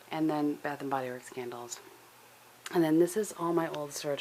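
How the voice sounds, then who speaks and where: A woman's very deep, low voice. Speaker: lifestyle vlogger. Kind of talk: casual vlog. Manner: soft-spoken.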